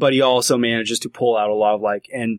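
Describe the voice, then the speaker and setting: On a very clean recording with a silent background and a dry, close sound with no echo, a man speaks in a plain, everyday voice at a medium pitch and a moderate pace with fairly even intonation. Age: 20s. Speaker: freelance games journalist. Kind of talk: casual chat.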